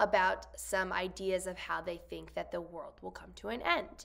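Quiet background, a woman, and a moderate pace. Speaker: science teacher. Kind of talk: lesson explanation to students. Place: classroom. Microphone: phone near.

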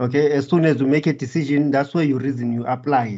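A man talks fast at a medium pitch. His tone is dark and mellow, and his intonation stays fairly even.

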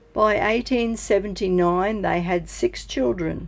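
Music plays in the background as a woman speaks at a very slow pace. Her intonation is lively. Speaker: family history vlogger. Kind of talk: documentary narration.

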